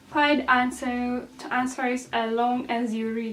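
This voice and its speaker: In a non-native accent, a woman speaks with a high pitch. Her pace is fairly slow. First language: not English. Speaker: YouTuber sharing exam tips. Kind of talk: casual vlog tutorial. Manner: hesitant, with filler ums.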